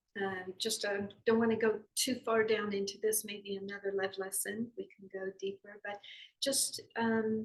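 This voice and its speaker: A woman with an American accent talks at a fairly slow pace. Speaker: yoga philosophy teacher. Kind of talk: spiritual lesson talk. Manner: halting, many fillers.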